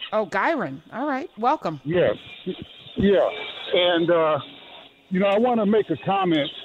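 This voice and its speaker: A man speaks at a fairly slow pace and a high pitch, with lively intonation. He takes long, frequent pauses against noticeable background noise. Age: 60s. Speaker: caller, retired police officer. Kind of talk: radio call-in comment. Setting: phone call at an outdoor car wash, poor line.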